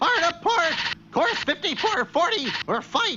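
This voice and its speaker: A cartoonish character voice at an extremely high pitch and a moderate pace, over clear background noise. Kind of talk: cartoon comic acting. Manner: blustering, confidently self-assured.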